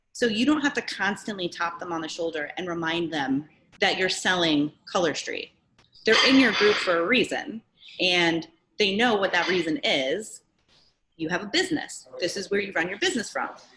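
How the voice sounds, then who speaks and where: A woman speaks at a moderate pace in a medium pitch, her tone bright and sharp. Her intonation is lively, with noticeable background noise behind her. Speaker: direct sales trainer; direct sales team coach. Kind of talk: training webinar. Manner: casual, filler-heavy. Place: home room. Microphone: webcam.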